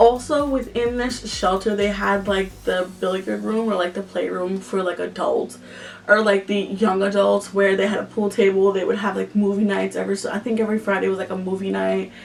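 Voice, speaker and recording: Fairly quick speech in an American accent with hardly any pauses, over noticeable background noise. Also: woman. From Yonkers, New York. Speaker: vlogger. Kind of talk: storytime vlog. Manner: casual, filler-heavy.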